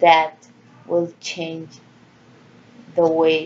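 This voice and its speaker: Very slow in pace, a woman speaks with a fairly low pitch. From Central America. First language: Spanish. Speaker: vlogger. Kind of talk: personal monologue. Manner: halting.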